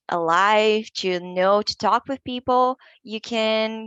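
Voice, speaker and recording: A woman with a Portuguese accent speaks in a fairly high pitch with fairly even intonation. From Brazil, São Paulo. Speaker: English learner. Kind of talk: interview.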